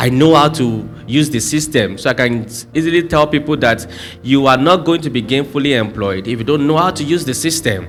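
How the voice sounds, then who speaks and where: Music plays behind a man speaking with a Nigerian accent at a fairly quick pace. His pitch is fairly high, with ordinary variation. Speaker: conference speaker. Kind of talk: motivational talk. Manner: fast.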